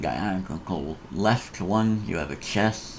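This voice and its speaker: A man speaks at a very slow pace with vocal fry, a fairly low pitch and ordinary pitch variation. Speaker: Minecraft tutorial youtuber. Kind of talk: tutorial. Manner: halting.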